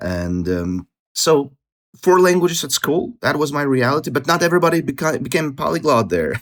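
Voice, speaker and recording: Fairly quick, fairly high-pitched speech from a man, full of very wide pitch swings. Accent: Russian. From Latvia, Russian-speaking city. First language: Russian. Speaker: polyglot, language expert. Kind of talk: podcast interview.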